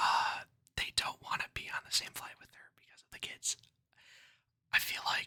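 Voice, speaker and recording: Someone is whispering. The pace is moderate. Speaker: ASMR creator. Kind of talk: ASMR storytelling and commentary. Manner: casual, relaxed.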